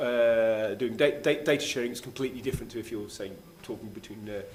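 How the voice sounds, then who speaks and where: A man with a British accent at a medium pitch, fairly quick and fairly even, with audible room echo. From Great Britain. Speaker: keynote speaker on smart city technology. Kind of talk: conference talk and Q&A. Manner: fast; halting, many fillers and restarts.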